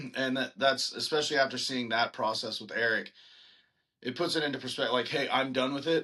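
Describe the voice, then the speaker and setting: A man with a plain, everyday voice and an American accent talks at a fairly quick pace in a medium pitch with fairly even intonation. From Texas, Lake Dallas near Denton. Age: 30s. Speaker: singer-songwriter and band frontman. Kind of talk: casual interview chat.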